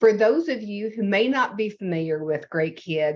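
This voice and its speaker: Over a quiet background, a woman talks with a Southern US accent. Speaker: nonprofit executive. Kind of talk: presentation. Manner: slow.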